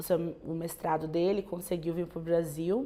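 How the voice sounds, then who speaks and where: This woman speaks at a fairly slow pace in a fairly low pitch. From Brazil, raised from age 3 (born in Angola). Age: 20s. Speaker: teacher giving a personal testimony. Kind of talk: testimony. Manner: halting, many fillers and restarts.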